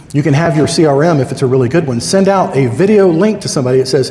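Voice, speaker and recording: A man with lively intonation and a fairly quick pace, amid audible room echo and noticeable background noise. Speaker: conference speaker, Medicare insurance agent. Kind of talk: conference talk. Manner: fast; animated.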